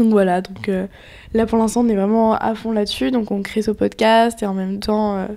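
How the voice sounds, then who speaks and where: A woman's dark, mellow tone carries monotone, flat intonation. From western France, near Nantes. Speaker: podcast co-host, entrepreneur. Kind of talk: casual chat.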